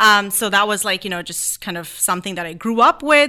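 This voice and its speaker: A woman speaks at medium pitch with ordinary pitch variation and a bright, sharp tone. The recording is very clean and the background silent. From India. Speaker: dancer and choreographer. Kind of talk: casual interview. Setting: radio studio.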